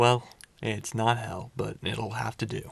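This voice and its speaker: Putting on a character voice, a man sounds raspy at medium pitch. His pace is fairly slow. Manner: sinister.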